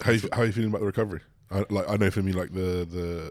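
This voice has an English accent and a very fast pace. Its intonation stays fairly even. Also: man. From rural England. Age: 20s. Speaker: bodybuilder. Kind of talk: casual chat.

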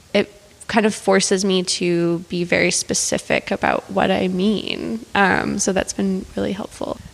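With a Canadian accent, a woman speaks at a fairly slow pace over noticeable background noise. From Calgary, Alberta, Canada. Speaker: artist. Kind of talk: casual interview.

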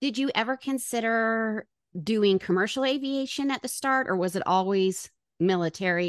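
A woman talks at a moderate pace in a plain, everyday voice. The background is quiet. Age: 50s. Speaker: podcast host. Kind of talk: interview.

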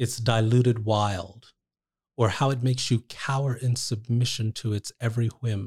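The voice is somewhat breathy, with monotone, flat intonation at a moderate pace. The sound is dry and close with no echo, on a very clean recording with a silent background. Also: man, medium pitch for a man. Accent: American. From New Jersey, US. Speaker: poet. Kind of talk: poetry reading aloud; casual interview conversation.

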